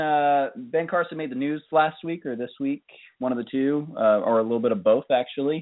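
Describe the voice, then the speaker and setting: At a moderate pace, this is an ordinary speaking voice with lively intonation. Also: man. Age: 30s. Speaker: podcast co-host. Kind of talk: casual chat.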